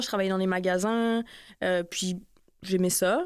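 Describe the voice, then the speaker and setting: A woman speaks at a moderate pace with fairly even intonation. The recording is very clean, and the background is silent. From northern France, Lille. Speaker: author. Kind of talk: interview. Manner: halting, many repetitions; casual.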